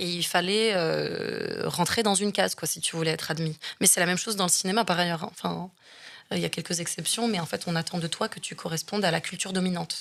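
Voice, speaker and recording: Her voice fairly low in pitch and marked by vocal fry, a woman talks at a very fast pace with fairly even intonation. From Marseille, southern France. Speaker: actress and film director. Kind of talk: interview conversation. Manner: halting, many hesitations.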